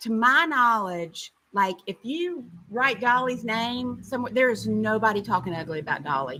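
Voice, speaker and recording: With a Tennessee accent, a woman speaks at a fairly high pitch and a moderate pace. Her pitch swings very widely, and she hardly pauses. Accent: Southern US (Tennessee). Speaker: podcast co-host. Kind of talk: casual chat. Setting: live stream.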